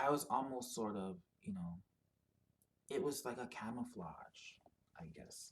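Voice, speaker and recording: A man speaks with lively intonation and big swings in loudness, leaving long, frequent pauses. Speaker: video blogger. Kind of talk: personal monologue. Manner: halting, many fillers.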